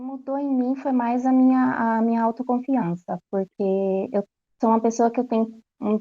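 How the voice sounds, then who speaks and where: A woman with a São Paulo accent and fairly even intonation. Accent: Brazilian Portuguese, São Paulo. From Brazil, São Paulo. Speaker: language course student giving testimonial. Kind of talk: testimony. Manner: soft-spoken; halting.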